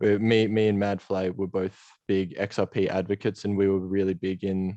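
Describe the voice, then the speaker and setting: Speaking at a moderate pace in monotone, flat intonation, a man with an Australian accent has a very deep, low pitch, recorded dry and close with no echo against a quiet background. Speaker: game project co-founder. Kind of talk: interview. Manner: hesitant, many fillers.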